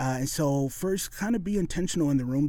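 A man's dark, mellow voice in an American accent, fairly quick in pace, with ordinary pitch variation. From western Michigan. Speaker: communication professor. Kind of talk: interview. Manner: halting, frequent uh fillers.

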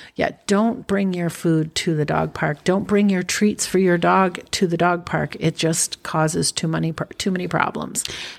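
A woman speaks in a normal speaking voice, fairly low in pitch. Her intonation is fairly even, and she keeps a moderate pace with hardly any pauses. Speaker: podcast co-host. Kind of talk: casual chat.

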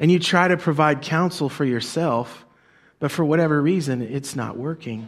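At a moderate pace, a man with a fairly high pitch speaks in an unremarkable speaking voice with ordinary pitch variation. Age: 40s. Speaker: pastor. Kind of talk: sermon. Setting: church.

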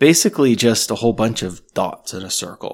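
A man with a Canadian accent uses a normal speaking voice at medium pitch with ordinary pitch variation. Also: very clean recording, silent background. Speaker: podcast host. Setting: cottage dining room.

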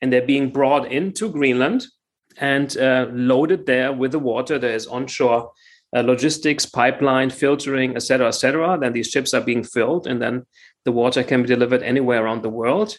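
On a very clean recording with a silent background, a man speaks at a fairly quick pace with ordinary pitch variation. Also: medium pitch for a man. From Germany, Frankfurt. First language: German. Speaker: water investment entrepreneur. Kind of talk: interview. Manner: halting, many fillers.

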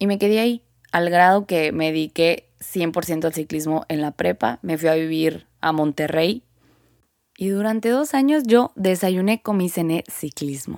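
In a very clean recording with a silent background, a woman with an ordinary speaking voice and a fairly low pitch speaks at a fairly slow pace with lively intonation. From northern Mexico, Sonora. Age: 20s. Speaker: podcast host, athlete. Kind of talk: personal monologue.

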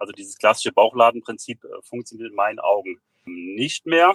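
In a dry, close sound with no echo, a man's speech moves at a fairly quick pace. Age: 40s. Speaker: fitness studio and physiotherapy practice owner. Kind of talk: interview. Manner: hesitant with fillers.

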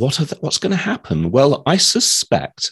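With a dry, close sound and no echo, a man speaks at a moderate pace. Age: 50s. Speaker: healthcare data analyst. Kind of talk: interview.

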